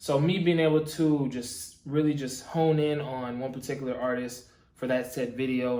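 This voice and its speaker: A man's fairly even intonation amid noticeable background noise and audible room echo. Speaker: YouTube reaction video creator. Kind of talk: casual reaction commentary. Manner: casual, filler-heavy.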